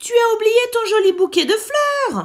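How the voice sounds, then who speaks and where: Squeaky and pitched extremely high, a woman performs a put-on character voice. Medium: read story.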